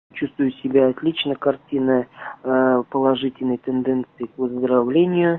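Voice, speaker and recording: The delivery is fairly slow with fairly even intonation, in a dry sound with no echo. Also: man. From Mordovia, Russia; Russia. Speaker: covid patient, entrepreneur. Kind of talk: interview. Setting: hospital isolation ward. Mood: calm, grateful. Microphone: phone near.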